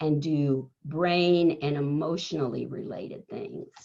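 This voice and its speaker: A woman speaks at a very slow pace. Her tone is dark and mellow, and somewhat breathy. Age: 70s. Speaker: keynote speaker on leadership. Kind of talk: motivational talk.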